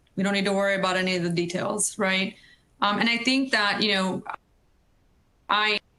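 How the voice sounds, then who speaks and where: With a non-native accent, a woman of medium pitch talks fairly quickly with long, frequent pauses, fairly even intonation and very even loudness over noticeable background noise. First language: not English. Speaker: energy industry professional. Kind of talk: panel discussion.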